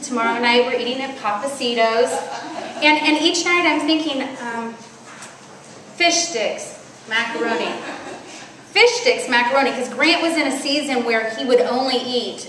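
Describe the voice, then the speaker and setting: A loud woman speaks at a high pitch, with long, frequent pauses. Audible room echo and noticeable background noise surround her. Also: ordinary pitch variation, moderate pace. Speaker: women's conference speaker. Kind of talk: sermon.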